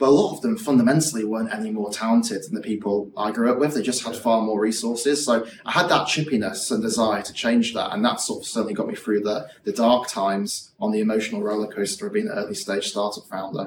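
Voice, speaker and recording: With a Yorkshire accent, a man rattles along at a very fast pace with hardly any pauses, medium in pitch with ordinary pitch variation, over noticeable background noise. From West Yorkshire, England (Morley). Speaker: startup founder and CEO. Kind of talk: interview.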